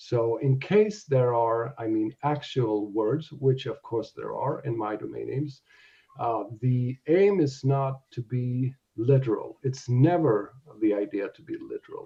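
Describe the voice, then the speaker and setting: A man with a non-native accent speaks at a fairly slow pace in a medium pitch. His voice is somewhat breathy, with ordinary pitch variation. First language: not English. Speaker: domain investor. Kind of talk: interview on live audio show. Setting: live audio space. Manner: halting.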